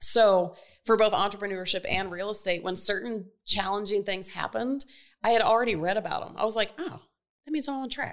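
A woman with an ordinary speaking voice talks at a fairly quick pace and a medium pitch, her pitch varying in an ordinary way while her loudness swings widely. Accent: American. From US South, Atlanta. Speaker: real estate investor. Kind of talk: casual chat. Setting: studio.

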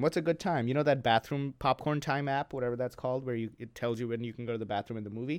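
Dry and close with no echo, a man talks at a fairly quick pace in an ordinary speaking voice at medium pitch. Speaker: podcast co-host. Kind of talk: casual banter.

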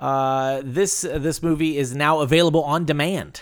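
Speaking in a normal speaking voice, a man talks at a fairly slow pace, with a fairly high pitch and fairly even intonation. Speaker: podcast host. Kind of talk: casual banter, comedic chat. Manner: joking, profane, loud.

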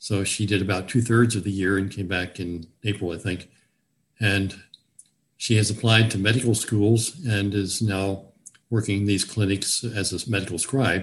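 Somewhat breathy, this man speaks with an American accent. His intonation is fairly even. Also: fairly low pitch for a man, moderate pace. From Virginia, US South (Newport News). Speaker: retired physician. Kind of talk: interview. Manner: halting.

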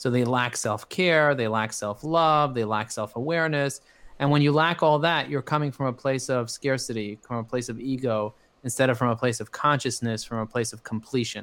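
A man has an ordinary speaking voice at medium pitch and a moderate pace. The recording is very clean, with a silent background. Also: ordinary pitch variation. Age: 40s. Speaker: marketing agency CEO and business coach. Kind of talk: interview.

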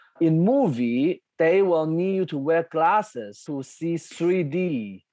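A man's fairly high voice in a Chinese accent, dark and mellow in tone, with lively intonation and a dry, close sound with no echo. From China. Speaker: composer. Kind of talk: interview conversation.

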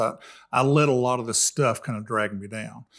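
Very clean recording, silent background, and a man at medium pitch. He speaks with an East Tennessee accent. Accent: East Tennessee Southern. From East Tennessee, Jefferson County. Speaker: middle school principal and volunteer mentor. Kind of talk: casual chat.

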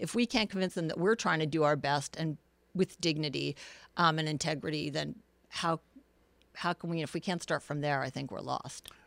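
With an American accent and vocal fry, a woman speaks at a moderate pace with a very deep, low pitch and ordinary pitch variation. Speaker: political candidate. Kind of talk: interview.

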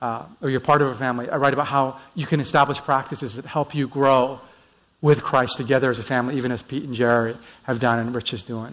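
A man with a Canadian accent and an unremarkable speaking voice talks at a fairly quick pace, at medium pitch and with fairly even intonation. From Vancouver, Canada. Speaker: pastor. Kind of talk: sermon. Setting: church.

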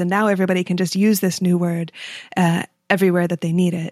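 Here is a woman with an ordinary speaking voice at a medium pitch, talking at a moderate pace. The sound is dry and close, with no echo. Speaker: iOS developer and conference speaker. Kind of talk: casual chat.

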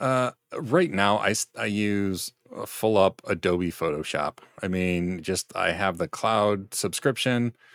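A man speaks fairly slowly in an ordinary speaking voice, fairly low in pitch with ordinary pitch variation. The sound is dry and close, with no echo. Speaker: video creator. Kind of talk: casual chat.

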